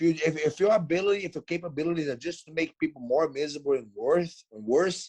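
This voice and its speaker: In a dry, close sound with no echo, a man with a Portuguese accent speaks at a high pitch with ordinary pitch variation. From Brazil. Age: 40s. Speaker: mixed martial artist. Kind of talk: casual chat. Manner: fast; animated.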